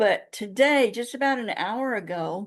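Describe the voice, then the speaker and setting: Against a quiet background, a woman talks at a very slow pace with ordinary pitch variation. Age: 70s. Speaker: interview guest. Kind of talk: casual chat.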